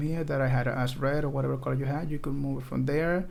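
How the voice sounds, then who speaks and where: Audible room echo surrounds a man whose fairly high pitch comes at a fairly quick pace. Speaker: coding tutorial creator. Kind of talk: tutorial. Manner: casual, filler-heavy; fast.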